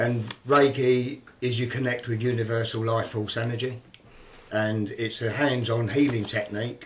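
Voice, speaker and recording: Over noticeable background noise and audible room echo, a man speaks at a medium pitch in a flat, monotone way. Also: moderate pace. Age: 60s. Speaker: Reiki teacher. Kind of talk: radio interview. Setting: studio. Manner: hesitant with frequent ums.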